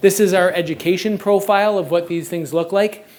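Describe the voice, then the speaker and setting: A man with a Canadian accent and ordinary pitch variation. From Canada. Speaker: circus coaching advisor, former gymnast. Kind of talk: conference presentation. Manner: fast.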